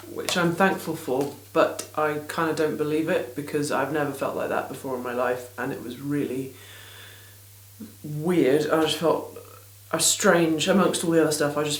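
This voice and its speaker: A woman with an English accent speaks at a very deep, low pitch with fairly even intonation, with audible room echo. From England. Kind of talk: casual vlog chat. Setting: small home studio in garden. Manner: rambling, hesitant with many ums.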